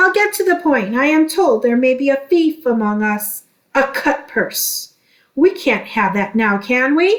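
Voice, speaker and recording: A woman's put-on character voice, high-pitched yet growling and gruff, with very wide pitch swings at a moderate pace. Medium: read story. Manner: gruff, blustering.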